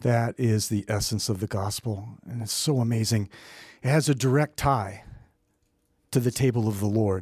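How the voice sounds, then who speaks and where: In a very clean recording with a silent background, a man with a medium pitch and a somewhat breathy voice speaks at a moderate pace, leaving long, frequent pauses. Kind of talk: sermon. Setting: church. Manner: animated.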